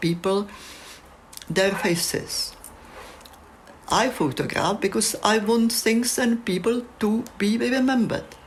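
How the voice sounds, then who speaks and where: This woman speaks very slowly with a Czech accent. Her intonation is lively. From Czechoslovakia. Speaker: photographer. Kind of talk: reflective monologue.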